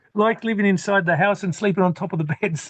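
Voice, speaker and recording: In an Australian accent, the speech comes at a moderate pace with ordinary pitch variation and a dry, close sound with no echo. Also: man. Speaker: homesteader living off-grid. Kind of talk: interview. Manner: halting, repeats words.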